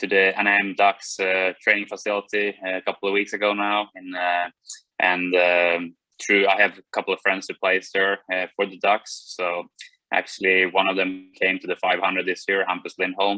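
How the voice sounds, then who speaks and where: In a Swedish accent, a man with a very deep, low voice speaks at a moderate pace with monotone, flat intonation. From Sweden. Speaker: racing driver. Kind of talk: interview.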